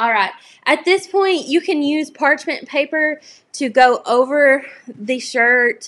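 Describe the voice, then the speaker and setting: Speaking very slowly with a Southern US accent, a woman uses a high pitch and lively intonation. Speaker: crafting YouTuber. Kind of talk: live crafting tutorial. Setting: livestream. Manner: casual, chatty.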